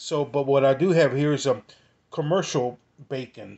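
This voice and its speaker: Pitch varies in an ordinary way as a man talks fairly quickly. Behind him it stays quiet. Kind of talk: tutorial. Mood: relaxed, informative. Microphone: phone near.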